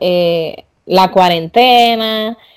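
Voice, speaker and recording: A woman speaks with lively intonation. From Dominican Republic. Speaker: podcast host. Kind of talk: casual interview.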